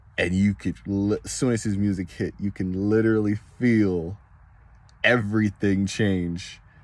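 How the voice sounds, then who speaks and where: On a very clean recording with a silent background, a man speaks in a fairly low, monotone voice with flat intonation. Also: fairly slow pace. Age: 20s. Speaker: wrestling fan vlogger. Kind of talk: casual monologue vlog. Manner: halting, repetitive.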